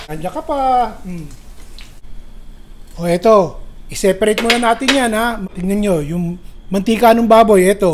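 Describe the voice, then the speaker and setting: A man with a Manila accent, high in pitch for a man, with ordinary pitch variation, a moderate pace and long, frequent pauses, over noticeable background noise. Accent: Pasig Tagalog accent, sounds like arguing. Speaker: cooking channel chef. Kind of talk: cooking tutorial. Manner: sounds angry or gruff though not angry; casual, chatty.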